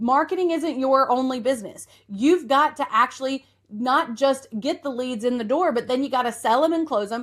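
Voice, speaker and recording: A woman speaks with an Appalachian accent at a high pitch. Her intonation is lively. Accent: Appalachian Southern. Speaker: podcast host and marketing coach. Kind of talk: podcast monologue. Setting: office couch. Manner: fast.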